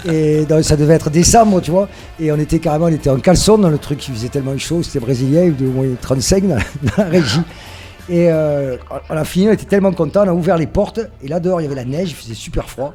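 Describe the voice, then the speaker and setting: With music playing behind him, a man speaks at a very fast pace in a fairly high pitch. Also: ordinary pitch variation. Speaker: musician in a band. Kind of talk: casual interview. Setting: radio interview at a festival. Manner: hesitant, many fillers.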